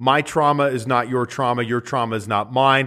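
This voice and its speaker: A man with an unremarkable speaking voice at medium pitch, in a very clean recording with a silent background. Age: 40s. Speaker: podcast host, business coach. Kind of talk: solo podcast monologue, book review. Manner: casual, conversational with filler words.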